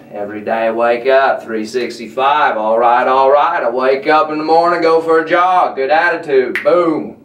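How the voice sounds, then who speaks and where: A man at a moderate pace with hardly any pauses and ordinary pitch variation, audible room echo, and light background noise. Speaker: comic vlogger in character. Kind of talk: comedic monologue, laid-back surfer-style chat. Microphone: webcam.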